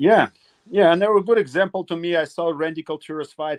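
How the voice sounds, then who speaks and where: With a Russian accent, a man talks with ordinary pitch variation in a dry, close recording with no echo. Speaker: retired MMA fighter. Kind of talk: interview. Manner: halting.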